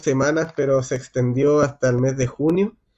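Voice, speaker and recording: A man with a Chilean accent speaks at a fairly high pitch with a dark, mellow tone. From Chile, Antofagasta. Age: 30s. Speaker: city councillor and local historian. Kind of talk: casual talk. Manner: hesitant, many fillers.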